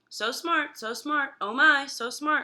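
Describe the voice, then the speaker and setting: A woman uses a put-on character voice with a high pitch. She goes at a fairly slow pace. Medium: read story. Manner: repetitive, squawky mimicry.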